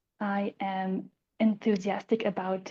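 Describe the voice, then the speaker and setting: A woman talks with a Swiss accent at a medium pitch. Her tone is dark and mellow, and somewhat breathy. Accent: Swiss accent, noticeable. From Switzerland. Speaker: life coach. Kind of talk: self-introduction on panel.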